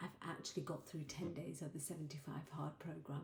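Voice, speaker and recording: The woman's voice is quiet. It comes out somewhat breathy. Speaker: life coach and vlogger. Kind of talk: personal video diary. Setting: at home late at night. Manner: speaking quietly.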